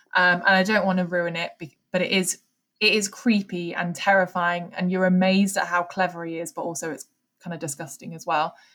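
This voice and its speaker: A woman's bright, sharp tone in an English accent, fairly low in pitch and fairly quick, with fairly even intonation and big swings in loudness. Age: 20s. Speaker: podcast host. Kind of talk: casual chat.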